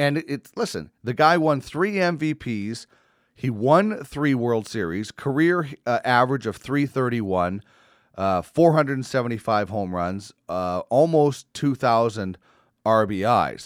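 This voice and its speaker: On a very clean recording with a silent background and a dry, close sound with no echo, a man with a plain, everyday voice speaks at medium pitch and a fairly slow pace with lively intonation. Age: 40s. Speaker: podcast host, former sports reporter. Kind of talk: casual chat.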